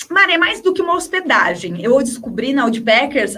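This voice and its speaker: Over noticeable background noise, a woman with a high pitch projects a raised voice with lively intonation. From interior of São Paulo state, Brazil. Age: 30s. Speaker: travel journalist. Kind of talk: casual interview chat.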